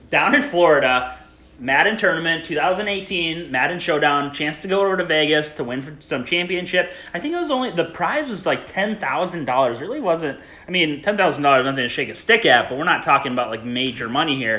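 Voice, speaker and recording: Noticeable background noise beneath lively intonation. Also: man, fairly high pitch for a man, moderate pace. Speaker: podcast host. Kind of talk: casual chat.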